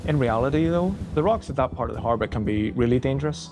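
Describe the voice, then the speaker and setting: A man with an Irish accent talks at a very fast pace and a medium pitch. Noticeable background noise runs behind him. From Ireland. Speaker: lifeboat crew volunteer. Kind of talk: interview testimony.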